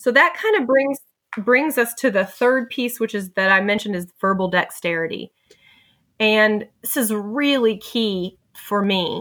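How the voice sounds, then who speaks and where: A woman with an ordinary speaking voice talks at a fairly slow pace and fairly high pitch with ordinary pitch variation, in a very clean recording with a silent background. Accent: American. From southeastern US. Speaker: flight nurse and podcaster. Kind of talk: casual interview.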